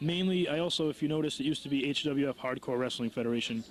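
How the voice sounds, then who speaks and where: Speaking with an American accent at a fairly quick pace, a man has a plain, everyday voice pitched fairly high. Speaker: wrestling promoter and ring announcer. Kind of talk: interview answer. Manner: casual, conversational.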